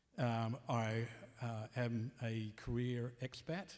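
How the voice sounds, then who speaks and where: A man speaks at a medium pitch in a strong Australian accent. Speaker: panel moderator. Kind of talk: panel discussion.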